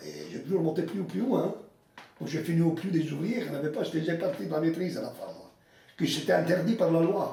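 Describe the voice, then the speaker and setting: Audible room echo surrounds a fairly quick delivery with ordinary pitch variation. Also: man, high pitch for a man. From Italy. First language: Italian (speaking French). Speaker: retired mine foreman. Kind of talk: interview testimony.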